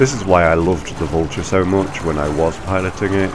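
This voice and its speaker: A man with a very deep, low voice keeps fairly even intonation at a moderate pace against noticeable background noise. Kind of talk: casual gameplay commentary. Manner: labored breathing.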